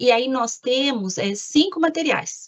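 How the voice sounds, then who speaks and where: Her pitch ranges enormously from high to low. The woman's voice has a slightly breathy quality. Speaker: government lawyer. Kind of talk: presentation in an online meeting.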